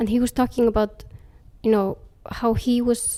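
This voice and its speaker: In an Icelandic accent, a woman with a fairly high pitch speaks in a dark, mellow tone with a monotone, flat intonation. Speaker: author. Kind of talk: interview.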